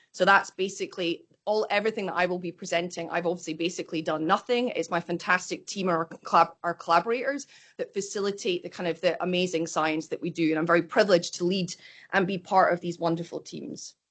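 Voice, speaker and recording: In a Scottish accent, a woman talks at a very fast pace with fairly even intonation and a fairly low pitch. The background is quiet. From Scotland. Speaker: microbiology professor. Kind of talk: lecture.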